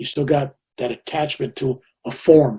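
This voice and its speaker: A dark, mellow tone, somewhat breathy. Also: man. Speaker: Vietnam War veteran, spiritual teacher. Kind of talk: interview answer.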